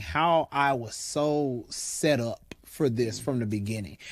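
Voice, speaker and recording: Ordinary pitch variation runs through the man's medium-pitched voice. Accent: American. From US South, West Tennessee. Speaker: diversity and inclusion consultant. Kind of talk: interview. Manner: casual, conversational.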